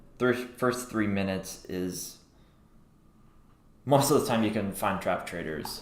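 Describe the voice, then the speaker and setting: With audible room echo, a man with a fairly low pitch speaks at a moderate pace. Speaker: crypto trader livestreamer. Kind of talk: live trading commentary. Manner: thinking aloud, words mixed up.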